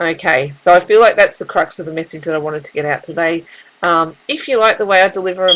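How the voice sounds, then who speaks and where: A woman with a fairly low pitch talks at a very fast pace. She speaks with an Australian accent. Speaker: tarot reader. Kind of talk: spiritual reading monologue. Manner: halting, with many fillers and repeats.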